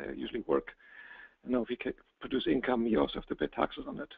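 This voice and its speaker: This is a man's voice. He speaks with a non-native accent. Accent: noticeable non-native. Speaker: real estate investment presenter. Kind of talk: webinar presentation. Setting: online webinar.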